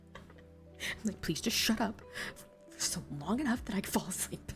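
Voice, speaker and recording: There is music in the background as a woman talks. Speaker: VTuber streamer. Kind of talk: casual live stream chatter while reading stories. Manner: casual, expressive, swears freely.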